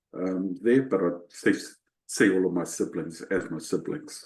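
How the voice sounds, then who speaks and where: In a New Zealand accent, a man speaks at a fairly slow pace with a very deep, low pitch, a dark, mellow tone and ordinary pitch variation. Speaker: leadership coach. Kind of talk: interview. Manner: halting, many fillers and repetitions.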